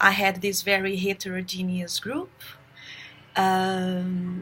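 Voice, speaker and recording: A medium-pitched woman with a Brazilian accent at a very slow pace. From Brazil, raised in São Paulo. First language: Portuguese. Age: 30s. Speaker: teacher. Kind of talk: self-introduction for job application. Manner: halting, many fillers.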